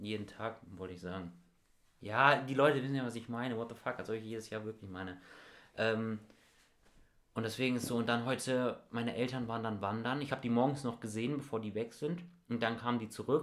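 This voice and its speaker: Speaking at a fairly quick pace, this man has a medium pitch. Long, frequent pauses break up his speech. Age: young (19). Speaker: podcast co-host, school student. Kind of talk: casual chat. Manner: animated.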